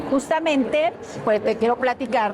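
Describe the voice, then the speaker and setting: High-pitched female speech with noticeable noise in the background. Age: 60s. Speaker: TV show host and journalist. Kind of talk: interview.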